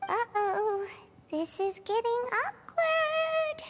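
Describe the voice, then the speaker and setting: Squeaky and very slow, the put-on character voice leaps through very wide pitch swings. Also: woman, extremely high pitch for a woman. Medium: game stream. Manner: casual, amused.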